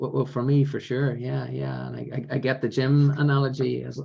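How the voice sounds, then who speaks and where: A man's voice at a moderate pace. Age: 50s. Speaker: business coach. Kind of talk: interview answer.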